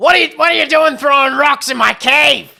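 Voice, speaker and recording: A man's gruff, put-on character voice at an extremely high pitch, delivered at a fairly quick pace. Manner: mean, gruff.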